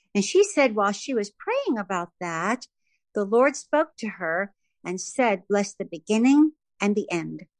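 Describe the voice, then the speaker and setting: In a normal speaking voice with lively intonation, the speaker goes at a fairly slow pace, the sound dry and close with no echo. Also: woman, medium pitch for a woman. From New York City (Bronx). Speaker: gospel and country singer. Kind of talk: interview, personal testimony.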